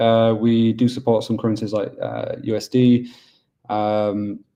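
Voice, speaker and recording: With a Yorkshire accent, a man speaks in a dark, mellow tone at medium pitch with monotone, flat intonation. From Yorkshire, northern England. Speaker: business development manager at a mining pool. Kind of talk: webinar presentation. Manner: casual, with many fillers.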